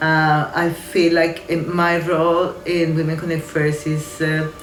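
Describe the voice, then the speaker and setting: A woman with a Spanish accent speaks with audible room echo and noticeable background noise. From Colombia. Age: 60s. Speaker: community organisation manager. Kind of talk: interview testimony. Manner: halting, with many fillers.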